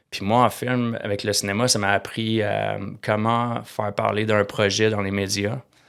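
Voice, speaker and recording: Speaking fairly slowly, a man keeps a fairly low pitch and a monotone, flat intonation. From Quebec, Eastern Townships (Bromont area). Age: 50s. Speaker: entrepreneur, startup founder. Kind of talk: interview conversation. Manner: halting, many fillers and repetitions.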